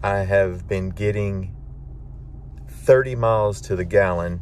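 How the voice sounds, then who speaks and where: A man speaks at a fairly low pitch with ordinary pitch variation. There is noticeable background noise and audible room echo. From Arkansas, Little Rock. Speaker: travel vlogger. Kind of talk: travel vlog narration. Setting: walking outdoors and in a museum.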